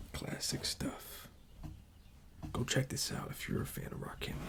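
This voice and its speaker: Someone whispers at a fairly slow pace amid noticeable background noise. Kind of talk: ASMR vinyl collection showcase. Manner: whispered; soft, calming.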